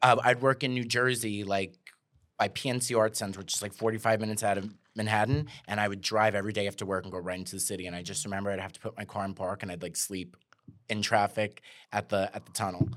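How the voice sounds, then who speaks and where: In a New York accent, a man speaks at a very fast pace with fairly low pitch and fairly even intonation. His loudness swings widely, and the recording is very clean with a silent background. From Staten Island, New York. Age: 30s. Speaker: comedian. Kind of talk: casual chat.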